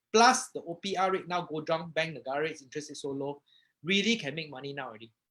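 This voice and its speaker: A man's fairly high voice with a Malaysian accent, very fast, with big swings in loudness, an animated tone, lively intonation and a bright, sharp tone. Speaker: property investor and live-stream host. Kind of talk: live stream introduction. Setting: Facebook live stream.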